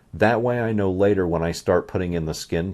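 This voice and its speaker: A man's very deep, low voice with ordinary pitch variation against a quiet background. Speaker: artist. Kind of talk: tutorial. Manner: soft-spoken.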